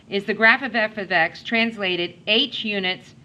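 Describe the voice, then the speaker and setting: A woman with an ordinary speaking voice, medium pitch, and ordinary pitch variation. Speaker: math teacher. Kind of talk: classroom lecture.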